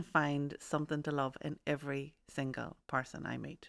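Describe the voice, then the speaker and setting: A woman is talking here. The background is silent, and the recording is very clean. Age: 30s. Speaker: podcast co-host. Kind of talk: casual chat.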